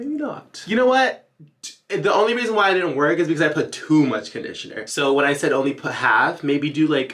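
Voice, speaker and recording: A man speaks with a fairly high pitch and an animated, playful tone. His pitch swings very widely at a fairly quick pace. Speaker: YouTuber, hair care tutorial creator. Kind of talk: casual tutorial. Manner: stumbles over words.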